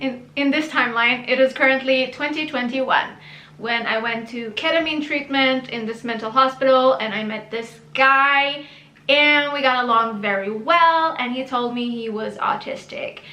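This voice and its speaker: In a room with audible echo and noticeable background noise, a woman with a high pitch uses a raised, projected voice at a moderate pace with ordinary pitch variation. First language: Hebrew. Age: 30s. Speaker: YouTuber. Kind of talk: personal story monologue. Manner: casual, chatty.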